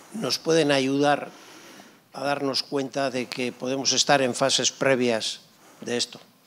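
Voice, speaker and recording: Noticeable background noise sits behind a man speaking at a very slow pace. His medium pitch carries fairly even intonation. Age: 70s. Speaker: audience member. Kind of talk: audience question.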